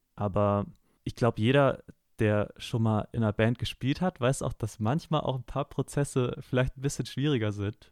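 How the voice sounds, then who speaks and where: An ordinary speaking voice moves at a moderate pace with ordinary pitch variation, captured in a very clean recording with a silent background and a dry, close sound with no echo. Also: man, medium pitch for a man. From Hamburg area, northern Germany. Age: 20s. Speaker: singer-songwriter and music student. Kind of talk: interview.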